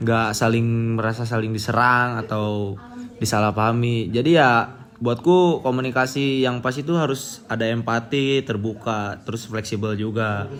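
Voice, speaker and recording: Over noticeable background noise, a man with a Medan accent talks at medium pitch with fairly even intonation. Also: moderate pace. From North Sumatra, Medan area, Karo. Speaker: university student, interviewee. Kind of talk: interview. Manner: firm, blunt.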